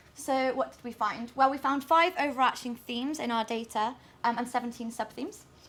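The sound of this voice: At a moderate pace, a woman speaks with a fairly high pitch, a fairly bright tone and ordinary pitch variation.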